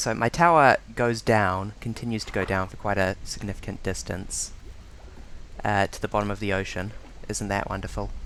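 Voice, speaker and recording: Speaking at a moderate pace with a New Zealand accent, the man has a fairly low voice. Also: ordinary pitch variation. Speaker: streamer. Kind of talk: live gameplay commentary. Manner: halting.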